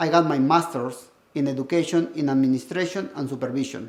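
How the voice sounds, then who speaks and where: Talking at a fairly quick pace, a man speaks with a Peruvian accent. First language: Spanish. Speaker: school administrator and educator. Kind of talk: personal testimony.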